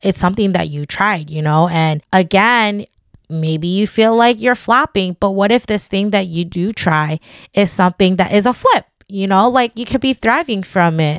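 A woman in a normal speaking voice, medium pitch with ordinary pitch variation, moderate pace, and a dry, close sound with no echo. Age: 30s. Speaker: podcast host. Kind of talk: solo monologue podcast.

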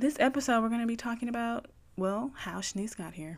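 A woman with lively intonation. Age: 20s. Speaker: podcast host. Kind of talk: casual monologue.

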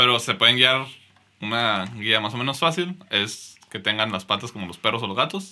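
A man's normal speaking voice with lively intonation and big swings in loudness. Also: medium pitch for a man, moderate pace. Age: 20s. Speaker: podcast co-host. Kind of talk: casual chat.

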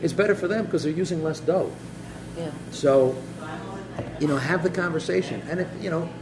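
Speaking at a fairly quick pace broken by long, frequent pauses, a man is heard through audible room echo and noticeable background noise. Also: fairly high pitch for a man, fairly even intonation. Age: 50s. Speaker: local podcast host. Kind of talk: casual interview. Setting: in a cafe.

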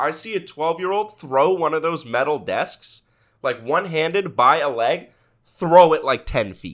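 A man's fairly high voice at a moderate pace, with ordinary pitch variation, an ordinary speaking voice. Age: 20s. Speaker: podcast co-host. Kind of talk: casual chat.

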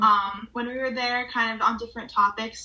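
Monotone, flat intonation in an American accent, with noticeable background noise. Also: woman. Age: young. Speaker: college student and photographer. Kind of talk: casual interview.

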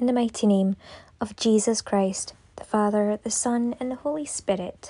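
Against a quiet background, a woman in a solemn tone speaks at a fairly high pitch and moderate pace, somewhat breathy, with ordinary pitch variation and big swings in loudness. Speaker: prayer leader. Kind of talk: fervent intercessory prayer, earnest and devotional. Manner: long flowing run-on petitions, earnest and reverent; solemn, steady invocations repeatedly addressing God.

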